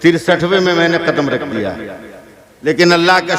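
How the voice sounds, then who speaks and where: There is noticeable background noise behind a man speaking at a high pitch. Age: 60s. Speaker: Islamic preacher. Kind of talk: sermon. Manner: animated.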